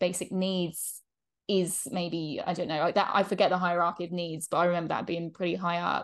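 The speaker has an English accent, heard against a quiet background. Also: woman. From England. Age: 20s. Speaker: podcast host. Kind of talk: casual interview chat.

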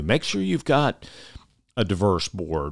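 Here is an unremarkable speaking voice from a man with a fairly low pitch and ordinary pitch variation. The recording is very clean, with a silent background. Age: 60s. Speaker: nonprofit foundation CEO, retiring. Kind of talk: casual interview conversation. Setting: studio.

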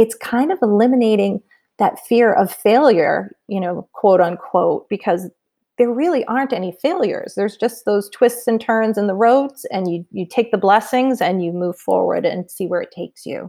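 In an American accent, a woman with a fairly high pitch and a dark, mellow tone talks at a moderate pace with lively intonation. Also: dry, close sound with no echo. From Massachusetts, New England. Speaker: entrepreneur and community founder. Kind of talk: podcast interview.

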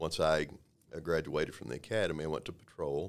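A man speaks with a Texan accent. His pace is moderate. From Texas, Waco. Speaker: police sergeant. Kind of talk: interview. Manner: hesitant, many fillers.

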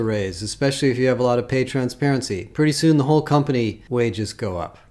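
In an American accent, a dark, mellow voice speaks at a fairly quick pace with ordinary pitch variation. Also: man. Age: 60s. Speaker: HR industry analyst. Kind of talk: solo commentary. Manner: casual.

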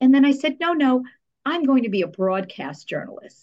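A woman's voice in an American accent with very wide pitch swings. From New Jersey, US. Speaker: public relations professional. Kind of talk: interview conversation.

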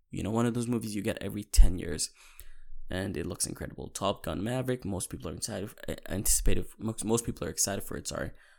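A man with vocal fry and a fairly low pitch talks at a very fast pace, with ordinary pitch variation and big swings in loudness, on a very clean recording with a silent background. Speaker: podcast host, movie fan. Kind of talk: solo casual movie talk. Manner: casual, repetitive with false starts.

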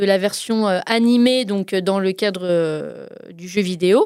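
This is a woman with a medium-pitched voice. The way her pitch moves is ordinary. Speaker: radio music columnist. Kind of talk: radio chronicle, casual presentation. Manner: animated.

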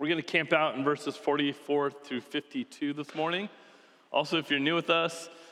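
Fairly high-pitched male voice at a fairly quick pace, with fairly even intonation and noticeable background noise. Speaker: pastor. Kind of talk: sermon. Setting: church service. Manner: casual, conversational.

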